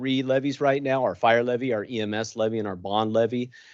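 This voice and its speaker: A man is speaking at a fairly quick pace. The background is quiet. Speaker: fire chief. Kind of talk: presentation to city council. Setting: council meeting chamber. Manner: fast.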